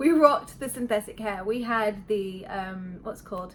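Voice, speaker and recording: With noticeable background noise, a woman in a British accent speaks at a fairly high pitch. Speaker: beauty vlogger. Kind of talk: product review. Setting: home bedroom. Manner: fast; casual.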